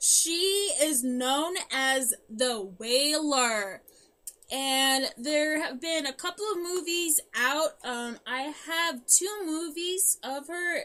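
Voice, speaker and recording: A woman with a high pitch speaks at a very slow pace in a raised, projected voice with a bright, sharp tone. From German-speaking family. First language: German. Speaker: podcast co-host. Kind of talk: casual chat. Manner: halting.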